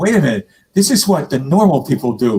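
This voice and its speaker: A man talks at a fairly quick pace in a dark, mellow tone. His voice is somewhat breathy and swings very widely in pitch. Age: 70s. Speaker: musician and online show host. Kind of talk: casual chat.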